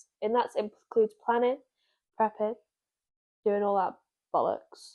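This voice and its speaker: Her tone dark and mellow, a woman talks at a fairly slow pace and fairly high pitch in a monotone, flat intonation. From northern England, South Shields. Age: 20s. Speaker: podcast co-host. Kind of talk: casual chat.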